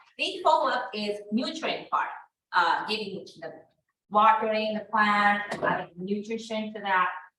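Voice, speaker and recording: With a Japanese accent, a woman speaks at a fairly slow pace, and audible room echo surrounds her voice. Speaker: real estate instructor. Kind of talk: class lecture.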